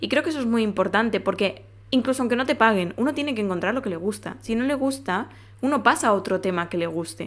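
A woman speaks very fast at a fairly high pitch, with lively intonation and vocal fry. The recording is very clean with a silent background. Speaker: podcast host. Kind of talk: casual monologue.

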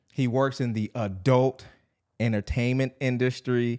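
On a very clean recording with a silent background and a dry, close sound with no echo, a man talks at a fairly slow pace and medium pitch in a monotone, flat intonation. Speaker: podcast host. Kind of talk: casual interview. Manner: casual, laid-back.

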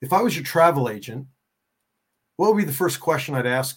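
This man's pitch sits fairly high. There is a somewhat breathy quality to his voice. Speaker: coach and author. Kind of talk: casual interview chat.

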